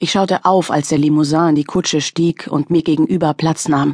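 This woman's voice is very deep and low in pitch, with a tearful tone and monotone, flat intonation. She keeps a moderate pace, and the sound is dry and close with no echo. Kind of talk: audiobook dramatic narration. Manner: tense, emotionally charged, hushed with near-tearful intensity.

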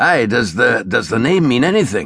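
A man puts on a character voice with a medium pitch, big pitch swings and a moderate pace. His fairly bright tone carries vocal fry and a slightly husky edge, recorded very cleanly against a silent background.

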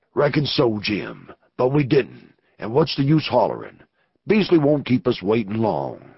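Putting on a gruff character voice with a Western US accent, a man at a medium pitch speaks at a moderate pace with lively intonation. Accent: rural Western drawl, dropped g's. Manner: gruff, terse, wary.

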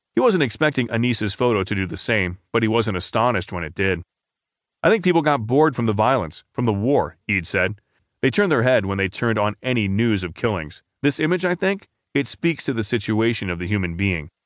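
Fairly quick speech from a man with a normal speaking voice, medium pitch and lively intonation, over a quiet background. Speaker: newspaper audio narrator. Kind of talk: news reading, scripted narration of newspaper articles. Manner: formal, measured and even-paced; steady, neutral newsreader delivery.

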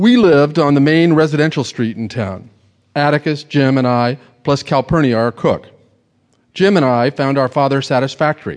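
An ordinary speaking voice from a man, fairly high in pitch, at a moderate pace with ordinary pitch variation. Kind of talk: literary audiobook reading. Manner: measured, wry storyteller pacing, dry Southern-novel narration.

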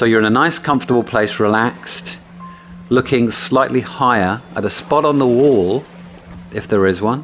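There is music in the background. Over it, a man talks at a moderate pace with lively intonation. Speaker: NLP practitioner and audiobook narrator. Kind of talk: guided meditation. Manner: instructional, with long pauses.

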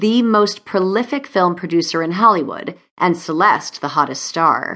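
An unremarkable speaking voice belongs to a woman of medium pitch. She speaks at a fairly slow pace with lively intonation. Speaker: audiobook narrator. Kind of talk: dramatic audiobook narration, glamorous romance. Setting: studio. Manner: smooth, expressive, sultry and urgent in tense moments.

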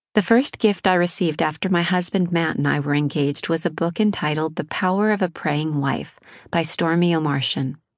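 An unremarkable speaking voice, its pitch moving in an ordinary way. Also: woman. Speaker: audiobook narrator. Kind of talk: fervent prayer, spoken intimately to God in first person; scripted audiobook narration. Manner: earnest, pleading, heartfelt.

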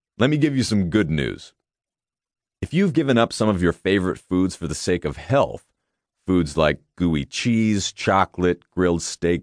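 A man's very deep, low voice, confident in tone, with lively intonation at a fairly slow pace, dry and close with no echo against a quiet background. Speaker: audiobook author-narrator. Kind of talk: infomercial-style sales pitch. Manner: punchy, persuasive, confident, direct address; animated, hard-selling, rhetorical questions.

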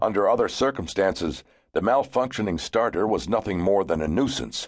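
A man's fairly low-pitched voice with vocal fry, a serious tone, and lively intonation, over a quiet background. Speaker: audiobook narrator. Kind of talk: dramatic audiobook narration, telling a grim true story of a deadly avalanche. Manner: gravely serious, suspenseful, building tension with measured pacing; vivid storyteller, brisk and urgent during the avalanche and rescue.

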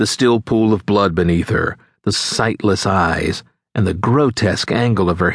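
This is a natural reading voice with ordinary pitch variation against a quiet background.

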